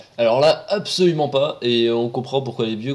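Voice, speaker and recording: Medium pitch, a moderate pace and an ordinary speaking voice from a man. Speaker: roller coaster video presenter. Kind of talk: casual commentary narration. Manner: casual, sarcastic.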